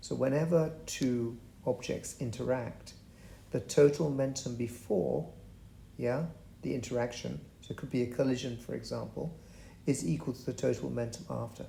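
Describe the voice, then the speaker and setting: With a dark, mellow tone and vocal fry, a man talks at a moderate pace and medium pitch, showing ordinary pitch variation and long, frequent pauses. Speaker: physics tutor. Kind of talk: tutorial. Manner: halting.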